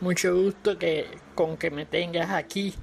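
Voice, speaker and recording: Noticeable background noise sits behind a woman's voice. She speaks at a medium pitch and a fairly slow pace. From Cuba, Havana. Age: 80s+. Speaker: cultural promoter. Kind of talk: interview. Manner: halting.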